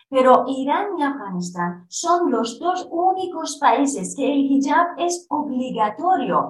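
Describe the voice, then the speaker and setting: With very wide pitch swings, a woman talks in a high voice. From Iranian Kurdistan. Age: 30s. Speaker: Kurdish-Iranian activist. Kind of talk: interview. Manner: halting.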